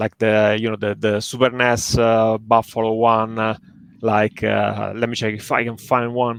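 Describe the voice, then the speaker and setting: Speaking at a fairly slow pace, a man keeps his intonation monotone and flat. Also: medium pitch for a man. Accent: Italian. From Italy. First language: Italian. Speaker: indie game developer. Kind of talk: casual interview chat. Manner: halting, many fillers.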